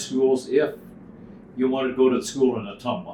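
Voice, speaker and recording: With an American accent, a man is heard over noticeable background noise. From rural Iowa, US. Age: 80s+. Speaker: retired banker and former farmer. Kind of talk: interview answer.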